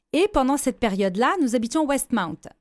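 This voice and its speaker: Very clean and silent in the background, the recording has a dry, close sound with no echo. A woman talks at a high pitch and a fairly quick pace, with very wide pitch swings. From Lebanon, then France from 17. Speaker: businesswoman and gender-equality advocate. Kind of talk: radio interview. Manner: hesitant, with repeated false starts.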